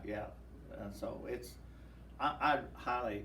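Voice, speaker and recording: Noticeable background noise sits beneath a man talking at a moderate pace. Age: 70s. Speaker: war veteran; pastor. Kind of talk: interview answer.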